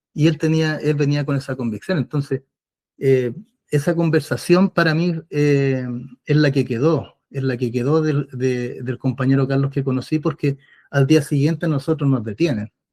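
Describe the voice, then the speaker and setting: Dry and close with no echo, a man with a Chilean accent speaks at a moderate pace in a fairly high pitch, with a dark, mellow tone and fairly even intonation. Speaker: former political prisoner. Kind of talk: interview testimony. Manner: hesitant, with many fillers.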